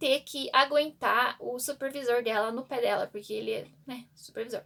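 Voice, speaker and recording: A woman talks with ordinary pitch variation. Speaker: book vlogger. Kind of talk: casual book review vlog. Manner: fast; halting, repeats words.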